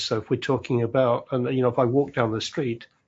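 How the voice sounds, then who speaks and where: A man speaks with a British accent. His voice is somewhat breathy, and his intonation is fairly even. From UK. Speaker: community leader, former English teacher. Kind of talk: panel discussion. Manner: halting, many repetitions.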